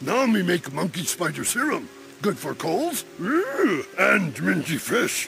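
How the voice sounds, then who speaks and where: A man at a fairly slow pace, with clear background noise. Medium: machinima. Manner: broken caveman speech, simple and blunt.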